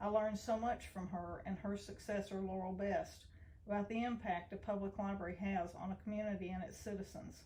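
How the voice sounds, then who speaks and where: This woman speaks with a Tennessee accent at a fairly quick pace. Her pitch sits in the medium range, and her intonation stays fairly even. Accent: Southern US (Tennessee). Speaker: library director. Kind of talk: prepared personal testimony.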